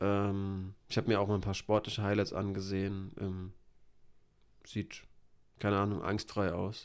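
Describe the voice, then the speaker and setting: Delivered in monotone, flat intonation, a man's fairly low voice comes with long, frequent pauses. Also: fairly slow pace. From Hesse, Germany. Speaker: MMA podcast co-host. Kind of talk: casual chat.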